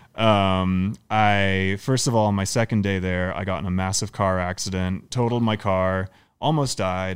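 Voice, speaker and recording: In an ordinary speaking voice, the speaker goes at a moderate pace with hardly any pauses. Intonation stays fairly even, and the recording is very clean with a silent background. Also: man, fairly low pitch for a man. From Canada. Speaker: professional movement artist and circus performer. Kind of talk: casual chat. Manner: casual, laughing.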